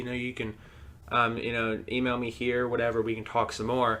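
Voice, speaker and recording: A man speaks with a bright, sharp tone. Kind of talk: casual podcast conversation about their past.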